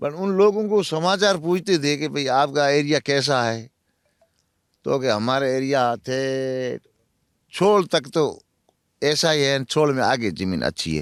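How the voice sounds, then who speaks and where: A man with a Marwari accent, dry and close with no echo, on a very clean recording with a silent background. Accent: Marwari-tinged Hindi. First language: Marwari (speaking Hindi). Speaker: former prisoner in Pakistan. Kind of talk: interview.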